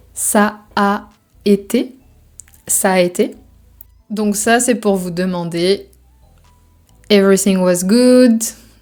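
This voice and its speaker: Over music in the background, a woman at medium pitch speaks at a very slow pace with fairly even intonation and long, frequent pauses. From Brittany, France. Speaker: French teacher. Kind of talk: language lesson explanation.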